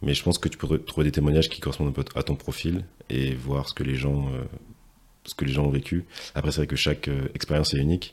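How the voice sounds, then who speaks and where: A man talks very fast in a very deep, low pitch, his intonation monotone and flat. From Martinique. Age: young. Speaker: podcast host. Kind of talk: interview. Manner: hesitant, many fillers.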